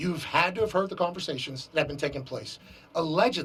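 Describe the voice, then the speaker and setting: A man speaks loudly with a high pitch. His tone is animated, and his pitch varies in an ordinary way. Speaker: sports show host. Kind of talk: interview. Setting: stadium.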